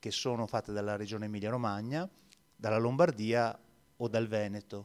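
The speaker is a man. He keeps a fairly even intonation. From Venice. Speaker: labour market expert. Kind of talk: panel discussion. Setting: stage with audience. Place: hall. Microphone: handheld.

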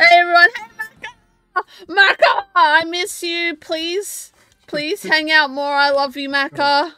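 Projecting a raised voice at an extremely high pitch, a woman speaks very slowly with ordinary pitch variation and big swings in loudness, in a dry, close sound with no echo, with music in the background. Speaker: video game streamer. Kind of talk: casual live-stream chat. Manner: giggly.

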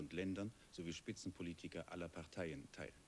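Over light background noise, a man with a very deep, low pitch and ordinary pitch variation speaks at a fairly quick pace. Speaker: television news anchor. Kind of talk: 1970s TV news broadcast, formal scripted news reading. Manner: formal, measured, sober and neutral; steady, even pacing with clear, crisp enunciation. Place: studio. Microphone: lapel.

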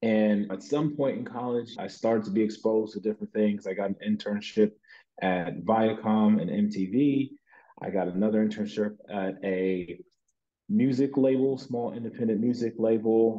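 Over a quiet background, a man talks at a moderate pace, his fairly low pitch showing ordinary variation. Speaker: interview guest. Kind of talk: interview answer. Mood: relaxed, reflective. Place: home room. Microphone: video call.

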